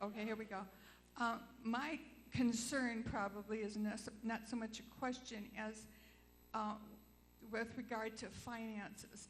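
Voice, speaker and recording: In a room with audible echo, a woman speaks fairly slowly at a fairly high pitch, her intonation monotone and flat. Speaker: church member. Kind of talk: question at congregational meeting. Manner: loud.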